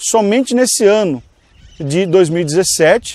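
With a dry, close sound and no echo, a man speaks in a dark, mellow tone at a high pitch with lively intonation. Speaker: online business instructor. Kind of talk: tutorial. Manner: casual direct address.

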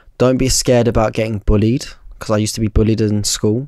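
A man with a London accent, dry sound with no echo, quiet background. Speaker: barber and content creator; content creator. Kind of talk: casual chat. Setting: studio. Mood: relaxed, reflective. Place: studio. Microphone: studio mic.

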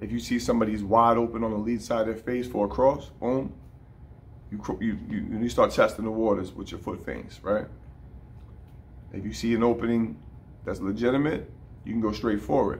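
The delivery has ordinary pitch variation. It moves at a fairly quick pace. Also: man. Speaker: boxing coach. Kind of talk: tutorial. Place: gym. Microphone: phone near.

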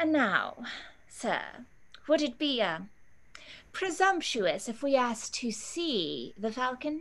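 Putting on a character voice, a woman speaks slowly at a fairly high pitch, her fairly bright tone making big pitch swings.

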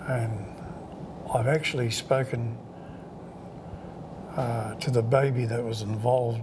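A man's very slow speech with fairly even intonation and long, frequent pauses, over noticeable background noise. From New Zealand, Taranaki; New Zealand. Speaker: Maori elder; interviewee. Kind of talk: oral history interview. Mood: warm, calm. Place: home room.

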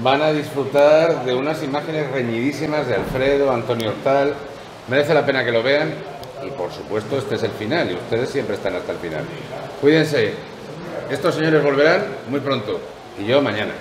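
Over noticeable background noise, a man with a fairly high pitch talks at a fairly quick pace, using ordinary pitch variation and long, frequent pauses. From Spain. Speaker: golf show host. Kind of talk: interview. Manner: animated.

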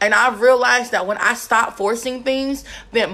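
Pitch shows ordinary variation. The speaker is a woman. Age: young. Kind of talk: livestream devotional teaching. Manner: casual, conversational. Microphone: phone near.

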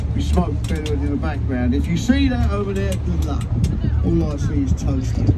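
A man talks fairly quickly through loud background noise. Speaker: boat tour guide. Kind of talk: live tour commentary with jokes. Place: boat.

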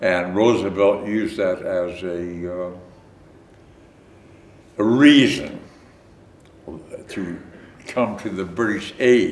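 Audible room echo surrounds a man's voice. It is fairly low, with ordinary pitch variation. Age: 80s+. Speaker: war veteran. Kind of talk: interview answer. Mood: reflective, recounting wartime memories. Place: home room.

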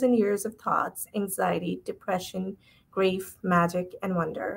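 A woman at a moderate pace with fairly even intonation. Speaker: event host. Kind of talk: host introduction. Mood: warm, smiling.

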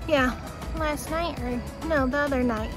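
A woman's high-pitched voice at a moderate pace, fairly even in intonation, dry with no echo, over music in the background. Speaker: running vlogger. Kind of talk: casual vlog chat. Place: street.

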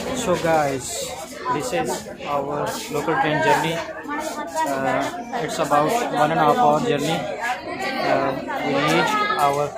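With crowd noise in the background, a man speaks very slowly, leaving long, frequent pauses. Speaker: vlogger. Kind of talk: casual vlog chat. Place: station. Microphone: phone near.

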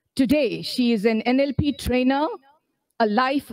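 A woman speaks at a fairly slow pace with an Indian accent. The background is quiet, and the sound is dry with no echo. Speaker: event emcee. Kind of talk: formal event hosting. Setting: live event with audience. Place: stage. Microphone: podium.

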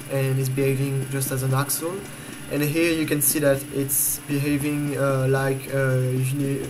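The speaker has a French accent. Noticeable background noise runs through the clip. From France. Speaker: video game tutorial maker. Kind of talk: game tutorial voice-over. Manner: hesitant, many fillers.

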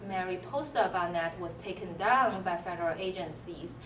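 Heard with audible room echo and light background noise, a woman with a Chinese accent speaks at a medium pitch. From Tianjin, China. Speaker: computer science professor. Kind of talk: faculty interview, monologue. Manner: hesitant, many fillers. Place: office.

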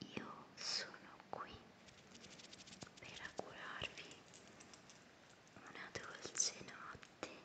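Over noticeable background noise, a woman whispers at a very slow pace with long, frequent pauses. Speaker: ASMR creator. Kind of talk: guided meditation. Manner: whispered; slow, soft-spoken.

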